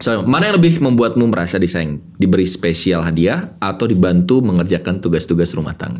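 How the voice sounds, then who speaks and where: Animated in tone, the speech runs at a fairly quick pace with hardly any pauses and ordinary pitch variation. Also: man, very deep, low pitch for a man. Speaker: podcast host and motivational speaker; podcast host, motivational speaker. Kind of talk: casual interview. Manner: energetic, fiery. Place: studio. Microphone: studio mic.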